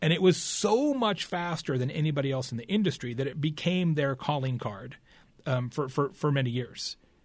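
A man speaks at a moderate pace with a fairly high pitch and ordinary pitch variation. His voice is somewhat breathy, and the recording is very clean with a silent background. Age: 50s. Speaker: keynote speaker and marketing author. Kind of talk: podcast interview.

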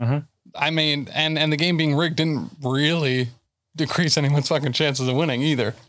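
A man's normal speaking voice, fairly high in pitch with fairly even intonation, in a very clean recording with a silent background. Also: fairly quick pace. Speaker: podcast host. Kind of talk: casual chat.

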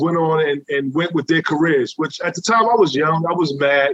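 Someone with a New York accent speaks at a fairly quick pace. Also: man. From New York City. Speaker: former streetball player. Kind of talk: casual interview.

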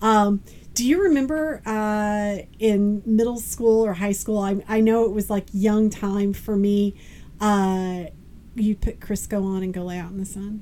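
At a fairly slow pace, a woman with a medium-pitched, dark, mellow voice keeps her intonation fairly even. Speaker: podcast co-host. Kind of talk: casual chat. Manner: loud.

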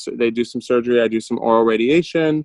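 A man with an American accent speaks at a moderate pace, his pitch medium and his intonation fairly even. It is an ordinary speaking voice, with a dry, close sound and no echo. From Michigan, US Midwest. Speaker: entrepreneur. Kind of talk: interview. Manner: casual, with many fillers.

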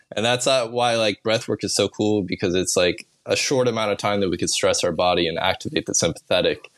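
With an American accent and a medium pitch, a man speaks at a fairly quick pace with hardly any pauses and ordinary pitch variation. The sound is dry and close, with no echo. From Kansas, US Midwest. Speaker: breathwork practitioner. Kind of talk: casual chat. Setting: video call.

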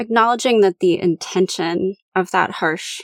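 A woman speaks at a fairly slow pace with vocal fry, recorded with a dry, close sound and no echo. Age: 30s. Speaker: podcast host and professional coach. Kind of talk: solo podcast monologue. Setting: home recording closet.

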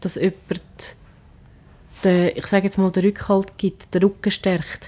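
The tone is dark and mellow, and the pace is very slow. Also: woman. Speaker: restaurant manager and cook. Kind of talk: casual chat.

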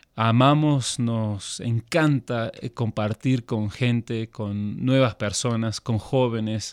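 The man speaks at a medium pitch with fairly even intonation. The recording is very clean, with a silent background and a dry, close sound with no echo. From Argentina, then Switzerland from age 12. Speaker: missionary. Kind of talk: interview conversation. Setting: studio.

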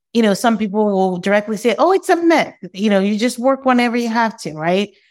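A woman's fairly high-pitched, lively voice, a normal speaking voice, on a very clean recording with a silent background. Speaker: law professor and author. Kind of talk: interview.

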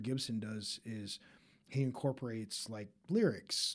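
A man at a medium pitch and moderate pace, with an ordinary speaking voice. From Utah (Park City). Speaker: artist and activist. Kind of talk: interview conversation.

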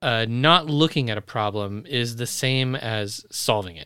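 A man's bright, sharp tone comes through on a very clean recording with a silent background. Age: 40s. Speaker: podcast co-host. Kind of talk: casual chat.

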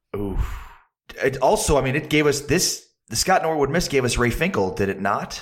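A man with an American accent speaks at a moderate pace in a fairly high, somewhat breathy voice with lively intonation. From Chicago suburbs. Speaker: sports radio personality. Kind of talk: casual chat.

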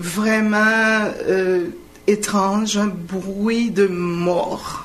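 Through noticeable background noise and audible room echo, a woman speaks at a medium pitch with fairly even intonation. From Haiti. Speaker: earthquake survivor. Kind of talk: radio interview.

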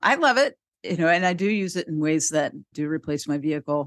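A woman's normal speaking voice, fairly low in pitch, with lively intonation and a fairly quick pace, dry and close with no echo over a quiet background. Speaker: podcast host. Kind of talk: casual chat.

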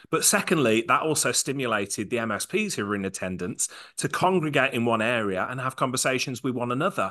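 Very fast man's voice in an English accent, medium pitch, bright and sharp in tone, with lively intonation and a quiet background. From England. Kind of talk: casual chat. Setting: live event venue.

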